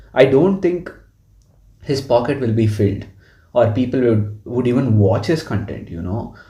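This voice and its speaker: Speaking at a moderate pace, a man uses lively intonation at a medium pitch, with vocal fry. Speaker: podcast host. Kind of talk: casual chat.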